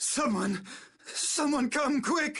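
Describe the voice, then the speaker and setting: The voice is a put-on character voice, pitched high. It sounds raspy. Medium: video game. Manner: stammering, pompous.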